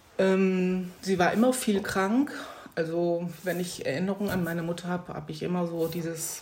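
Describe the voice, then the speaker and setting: Moderate-paced speech from a woman pitched fairly low, audible room echo around it. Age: 50s. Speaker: nurse on long-term sick leave. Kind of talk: personal testimony interview. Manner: halting, with fillers.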